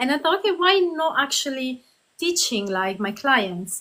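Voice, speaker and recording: A woman with a high pitch and a bright, sharp tone talks at a moderate pace. Her raised, projected voice moves through very wide pitch swings. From southern Italy, Puglia. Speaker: Pilates instructor. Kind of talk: interview.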